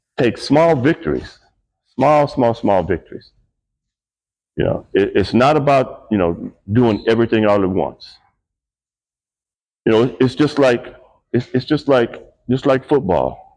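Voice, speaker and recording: A man speaks slowly-ish with long, frequent pauses, in a medium pitch with vocal fry. His intonation is lively, and his loudness stays very even. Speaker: motivational speaker. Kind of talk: motivational talk. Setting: team dinner.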